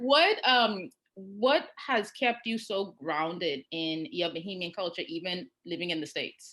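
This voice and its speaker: At a fairly slow pace with hardly any pauses, a woman speaks in a bright, sharp tone with lively intonation. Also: medium pitch for a woman. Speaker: interviewer, channel host. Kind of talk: interview.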